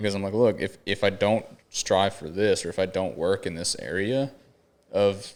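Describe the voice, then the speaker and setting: A man with an American accent uses a plain, everyday voice, fairly low in pitch, at a moderate pace. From Florida. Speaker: podcast host. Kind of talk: casual chat. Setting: studio.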